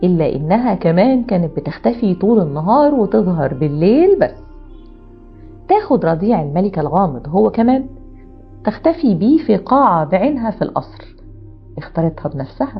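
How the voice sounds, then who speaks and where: Over background music, a woman with an Egyptian accent speaks at a fairly slow pace and very even loudness, her medium-pitched voice making very wide pitch swings. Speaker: storyteller. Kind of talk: storytelling narration.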